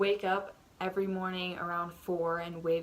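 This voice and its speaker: A woman's flat, monotone voice at a fairly slow pace, with noticeable background noise. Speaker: vlogger. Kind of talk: casual chat. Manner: soft-spoken. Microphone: audio turned up because quiet.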